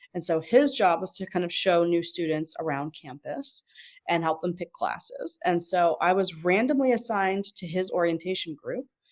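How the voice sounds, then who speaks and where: A woman with an American accent has an ordinary speaking voice and fairly low pitch. Her intonation is lively, and she speaks at a moderate pace. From New York, Westchester County. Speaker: marketing professional. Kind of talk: interview. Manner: many filler words.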